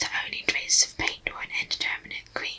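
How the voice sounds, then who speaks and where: Someone whispers at a moderate pace. Noticeable background noise is present. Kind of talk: bedtime story reading. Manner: whispered.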